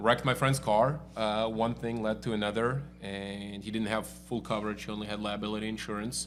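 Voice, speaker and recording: Fairly even intonation and hardly any pauses, with music in the background. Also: man, fairly low pitch for a man, fairly quick pace. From Russia (Moscow). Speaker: auto body shop owner. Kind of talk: casual interview.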